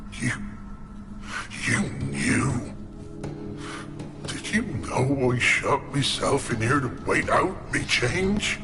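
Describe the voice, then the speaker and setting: Over loud background noise, a man puts on a character voice and speaks at a very slow pace. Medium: machinima. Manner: rough, dialect-tinged.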